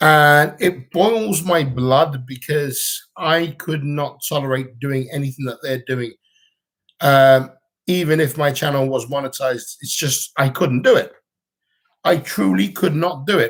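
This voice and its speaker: On a very clean recording with a silent background, a man with a British accent mumbles at a fairly slow pace, his voice somewhat breathy, fairly high in pitch and with ordinary pitch variation. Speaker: vlogger. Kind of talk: livestream chat. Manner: mumbling.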